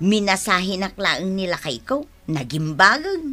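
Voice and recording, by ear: A woman puts on a character voice, medium in pitch with a bright, sharp tone and big pitch swings. She goes at a fairly slow pace while faint music plays in the background.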